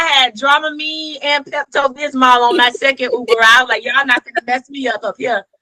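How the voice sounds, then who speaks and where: Raised and projected, a woman's high voice with a Southern US accent moves at a fairly quick pace in an animated tone, with a dry, close sound and no echo. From US South. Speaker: educator and author. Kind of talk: podcast interview.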